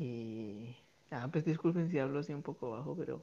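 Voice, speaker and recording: A man with a medium pitch, lively intonation and a moderate pace. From Guatemala. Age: 20s. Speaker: student living abroad. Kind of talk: casual interview. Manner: halting.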